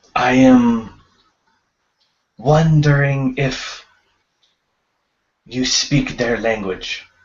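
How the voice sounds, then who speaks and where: In a put-on character voice, a man speaks at a medium pitch and a very slow pace, with long, frequent pauses. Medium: actual play. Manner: formal, deliberate.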